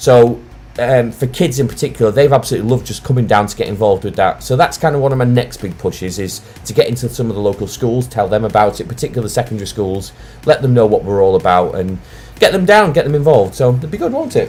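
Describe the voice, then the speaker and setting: Lively intonation and a very fast pace mark this Lancashire accent, heard against noticeable background noise. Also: man, medium pitch for a man. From Lancashire, northern England. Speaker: wargaming channel host. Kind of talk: casual live stream chat. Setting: live stream.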